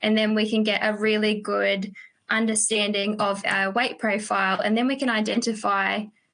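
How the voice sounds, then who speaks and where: Over a quiet background, a woman with a New Zealand accent speaks at a fairly high pitch. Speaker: sheep farming advisor. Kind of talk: webinar discussion. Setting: video call webinar. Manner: fast.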